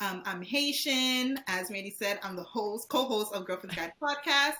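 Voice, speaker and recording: Noticeable background noise sits behind a woman at a medium pitch. She speaks at a moderate pace with lively intonation. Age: 20s. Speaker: nurse and podcast co-host. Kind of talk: casual interview chat.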